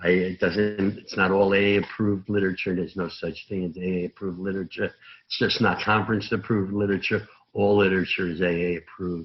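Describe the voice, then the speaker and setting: A man's very deep, low voice in a New York accent, very fast and monotone with flat intonation. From Brooklyn, New York. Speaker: recovering alcoholic speaker at AA meeting. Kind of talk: recovery testimony talk. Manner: loud.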